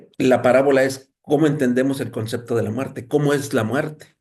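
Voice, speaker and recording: A man speaks at a moderate pace with a medium pitch and fairly even intonation. His voice is somewhat breathy, and the room echo is audible. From Mexico. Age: 60s. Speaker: thanatologist and lecturer. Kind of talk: lecture. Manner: halting, with many fillers.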